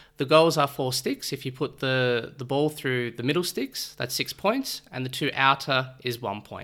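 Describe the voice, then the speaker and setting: A man with an Australian accent, bright and sharp in tone, at a moderate pace with hardly any pauses and fairly even intonation. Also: medium pitch for a man. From Australia, Melbourne. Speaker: amateur sports league organiser and umpire. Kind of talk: interview.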